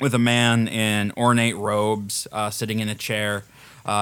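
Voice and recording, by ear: The clip has someone reading aloud in a natural voice.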